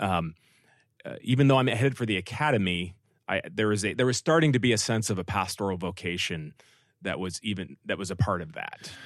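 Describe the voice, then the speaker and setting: With an American accent, a man speaks at a moderate pace and fairly low pitch in an unremarkable speaking voice, the sound dry and close with no echo against a quiet background. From California Bay Area, later Dallas. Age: middle-aged. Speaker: pastor. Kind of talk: interview.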